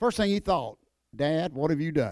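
A man with an Appalachian accent, dry and close with no echo, on a very clean recording with a silent background. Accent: Appalachian Southern US. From North Carolina mountains. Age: 50s. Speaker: professional wrestler and evangelist. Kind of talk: testimony. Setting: church.

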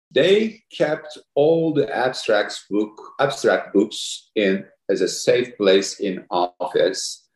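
A man speaks with a Turkish accent. His pace is very slow. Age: 50s. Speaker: orthopedic spine surgeon, society president. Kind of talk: interview.

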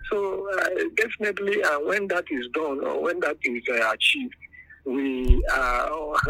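The pace is fairly slow. Noticeable background noise is present throughout. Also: man. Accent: northern Nigerian. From northern Nigeria. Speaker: lecturer and educationist. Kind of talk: interview. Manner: hesitant with fillers.

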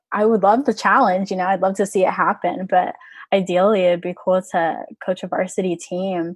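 A woman in a normal speaking voice talks at a moderate pace, medium in pitch with fairly even intonation. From Orlando, Florida. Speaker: college rower. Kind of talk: interview.

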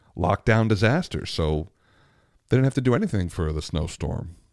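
At a moderate pace, the speech comes through with a dry, close sound, no echo, and a very clean recording against a silent background. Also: man. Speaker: podcast host and opera singer.

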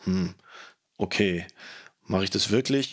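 Fairly slow pace and ordinary pitch variation, in a very clean recording with a silent background. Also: man. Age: 40s. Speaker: fitness podcaster. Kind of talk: solo podcast monologue.

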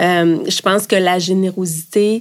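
This is a woman speaking. Her pitch sits at a medium level for a woman. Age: 50s. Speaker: business executive. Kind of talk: interview. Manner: casual, hesitant.

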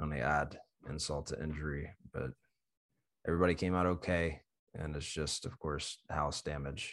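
A man speaks with a very deep, low pitch and vocal fry. His pace is moderate and his intonation fairly even. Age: 20s. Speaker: podcast host and tree climber. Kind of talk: casual chat.

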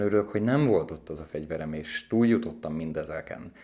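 On a very clean recording with a silent background, a man talks at a fairly quick pace and a fairly low pitch. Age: 40s. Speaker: educator living with HIV, former IT worker. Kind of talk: interview. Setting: studio. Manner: halting.

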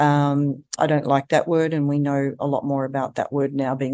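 A woman with an Australian accent speaks at a moderate pace in a very deep, low voice, against a quiet background. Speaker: eating disorder treatment center CEO and dietitian. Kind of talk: interview conversation.

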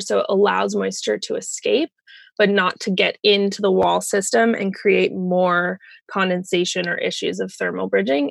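A woman with an American accent at a moderate pace, dry and close with no echo, over a quiet background. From Colorado. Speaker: tiny house consultant. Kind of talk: interview.

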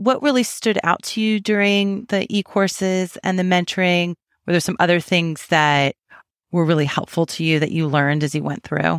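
Recorded dry and close with no echo, a woman speaks in a plain, everyday voice at a fairly low pitch, a moderate pace and ordinary pitch variation. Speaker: podcast host. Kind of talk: casual interview. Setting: video call.

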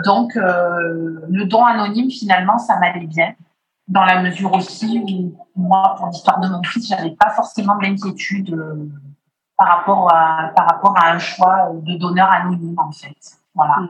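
A woman speaks at a medium pitch with a somewhat breathy voice. Her intonation stays fairly even and her pace is fairly slow. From Martinique. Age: 40s. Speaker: IVF patient. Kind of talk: testimony.

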